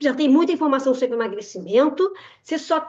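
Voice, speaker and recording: Here a woman speaks with a high pitch. Her intonation is lively. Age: 60s. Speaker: nutritionist. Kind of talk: webinar presentation with sales pitch.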